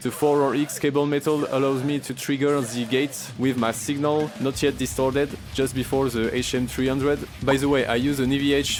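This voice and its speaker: With music playing behind him, a man with a French accent speaks in a fairly high pitch and a monotone, flat delivery. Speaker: grindcore guitarist. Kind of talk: gear breakdown talk to camera.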